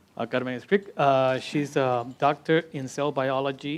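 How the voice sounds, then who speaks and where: Over a quiet background, a man with a Spanish accent talks at a fairly slow pace, his fairly high pitch held in a fairly even intonation. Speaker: interpreter. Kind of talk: interpreting at a panel. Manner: halting.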